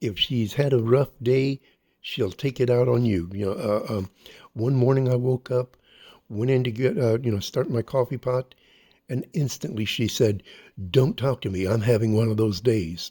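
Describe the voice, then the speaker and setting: A man with an American accent speaks at a moderate pace and medium pitch, his somewhat breathy voice dark and mellow in tone. His pitch variation is ordinary, and the recording is very clean with a silent background. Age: 70s. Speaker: vlogger. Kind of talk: casual vlog monologue. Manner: halting with many fillers.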